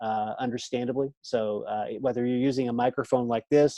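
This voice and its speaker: Speaking at a medium pitch in a monotone, flat intonation, a man has a dark, mellow tone, recorded dry and close with no echo over a quiet background. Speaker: online teaching trainer. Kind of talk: training session. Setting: video call from home. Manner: soft-spoken; hesitant, many fillers. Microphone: close to external microphone.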